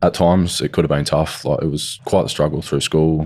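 Very deep and low in pitch, a man speaks at a fairly quick pace in monotone, flat intonation. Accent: Australian. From South Australia. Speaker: crime victim's son. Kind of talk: interview. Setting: studio.

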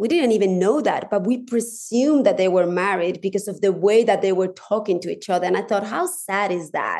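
With a Spanish accent, the speaker moves at a fairly quick pace. Pitch variation is ordinary. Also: woman, medium pitch for a woman. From Spanish-speaking country. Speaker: divorce coach. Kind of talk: casual chat.

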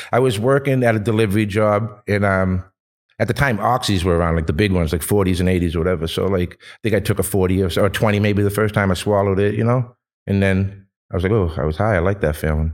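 Speaking at a very fast pace in a Boston accent, a man with a fairly low pitch uses ordinary pitch variation. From Boston, East Boston. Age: 40s. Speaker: cannabis brand owner. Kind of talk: casual chat. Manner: animated.

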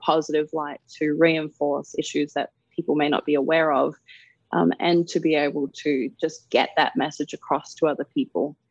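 A woman with an Australian accent, very deep and low in pitch, at a fairly quick pace against a quiet background. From Darwin, Northern Territory, Australia. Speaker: model and activist. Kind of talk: interview.

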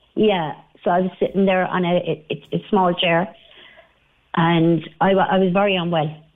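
With an Irish accent, a woman talks at a moderate pace in a fairly low pitch, her intonation monotone and flat, her loudness very even, with long, frequent pauses. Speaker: caller, recent hospital patient. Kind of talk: radio phone-in. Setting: phone call.

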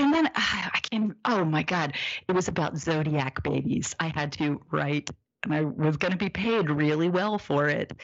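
With an American accent, a woman talks at a moderate pace in a very deep, low voice with vocal fry and very even loudness. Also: ordinary pitch variation. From US Midwest, Indianapolis, Indiana. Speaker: zine publisher, author and illustrator. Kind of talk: casual interview conversation.

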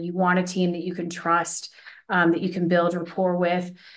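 A woman speaks at a moderate pace in a fairly low voice. Audible room echo can be heard. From third culture kid, Vietnamese mother and American father. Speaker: communications executive. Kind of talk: interview. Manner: animated.

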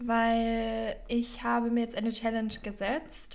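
Very slow pace from a woman with a fairly high pitch. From Bavaria, Germany. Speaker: podcast co-host. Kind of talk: casual chat; reading aloud.

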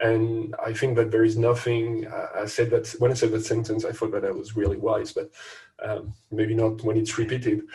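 A French accent at a moderate pace. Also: man. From France. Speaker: podcast co-host. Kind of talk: casual chat.

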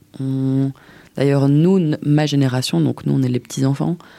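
At a moderate pace, a woman speaks with a very deep, low pitch and a dark, mellow tone, her pitch varying in an ordinary way. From Belgium, Brussels. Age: 20s. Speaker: interviewee sharing personal story. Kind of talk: testimony.

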